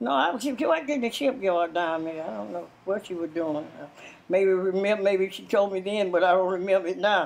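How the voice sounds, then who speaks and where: A woman with a Southern US accent talks at a fairly quick pace, her intonation lively. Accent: Southern American. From Louisiana. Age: 80s+. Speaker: interviewee. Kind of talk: interview answer. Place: home room.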